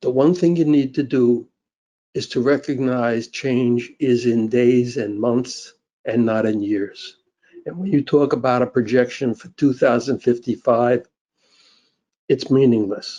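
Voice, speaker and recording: Speaking at a fairly slow pace, a man uses a medium pitch. His tone is dark and mellow, with fairly even intonation. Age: 80s+. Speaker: public commenter. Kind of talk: public comment.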